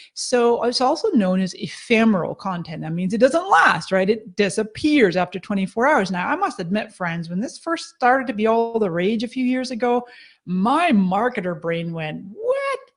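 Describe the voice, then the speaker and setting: A woman talks at a moderate pace and fairly high pitch, her somewhat breathy voice swinging very widely in pitch. Her tone is enthusiastic, with hardly any pauses. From Scotland, Edinburgh. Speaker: social media marketing expert. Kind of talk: webinar presentation.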